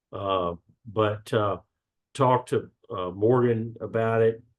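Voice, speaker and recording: A man speaks fairly slowly in a Southern US accent. His pitch is fairly low, and his intonation is fairly even. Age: 60s. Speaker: gym member sharing health story. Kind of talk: podcast interview. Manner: halting, many fillers.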